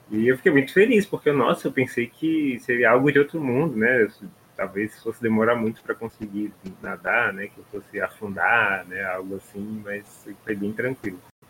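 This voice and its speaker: A man's medium-pitched voice at a moderate pace, with ordinary pitch variation, big swings in loudness and noticeable background noise. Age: 30s. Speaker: podcast host. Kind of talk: casual chat.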